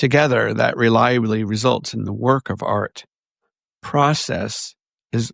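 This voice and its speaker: In a very clean, dry, close recording with no echo and a silent background, a man with an unremarkable speaking voice talks at a medium pitch and a fairly slow pace with fairly even intonation. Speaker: podcast host. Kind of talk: reading a quote.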